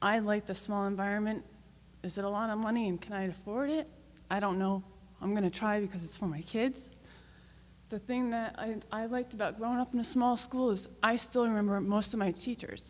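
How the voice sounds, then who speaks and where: This woman has a fairly high pitch and a shaky voice with an American accent. She talks at a fairly quick pace with fairly even intonation. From North Stonington, Connecticut. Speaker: town resident and parent. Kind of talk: public comment at town meeting.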